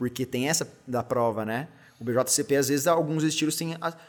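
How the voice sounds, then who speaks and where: A man speaks at a moderate pace with a fairly high pitch, ordinary pitch variation, and an unremarkable speaking voice. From São José dos Campos, São Paulo state, Brazil. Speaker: beer content creator and lawyer. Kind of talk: casual interview chat.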